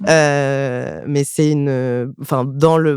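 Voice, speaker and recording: A man talks with a fairly high pitch. His intonation stays fairly even over noticeable background noise. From France, Rambouillet area. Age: 20s. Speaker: stand-up comedian. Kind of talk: casual interview chat.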